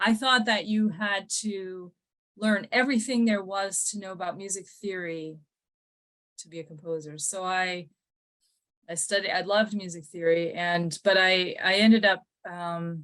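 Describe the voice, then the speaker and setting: With an Upper Midwest accent, a woman talks at a medium pitch and with fairly even intonation. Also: moderate pace. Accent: Upper Midwest American. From US Midwest, Minnesota and Milwaukee, Wisconsin. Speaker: musician and composer. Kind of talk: interview, personal life story. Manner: halting, many fillers and repeats.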